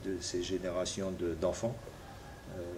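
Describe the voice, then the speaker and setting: Audible room echo surrounds a man who talks at a fairly slow pace. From New Caledonia (Koné region). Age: 60s. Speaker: politician. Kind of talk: interview. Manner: halting, many hesitations.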